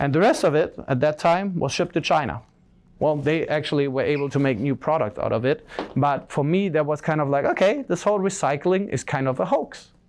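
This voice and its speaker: A German-accented man's voice, fairly high for a man, at a fairly quick pace, with ordinary pitch variation and very even loudness. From Germany. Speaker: social entrepreneur, keynote speaker. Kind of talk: keynote speech. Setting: stage with audience. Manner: casual, filler-heavy.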